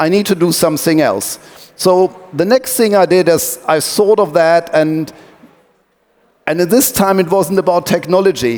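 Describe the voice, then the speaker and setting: At a moderate pace, a man speaks in a high voice with ordinary pitch variation and very even loudness. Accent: German. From Germany (Wuppertal). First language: German. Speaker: tech company owner, sailing team co-founder. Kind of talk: talk to an audience, storytelling. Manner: hesitant, many fillers.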